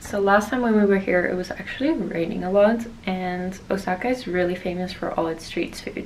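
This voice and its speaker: With noticeable background noise behind her, a woman talks at a fairly quick pace with hardly any pauses, her medium pitch showing ordinary variation. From Netherlands. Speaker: fashion model. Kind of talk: casual vlog talk to camera.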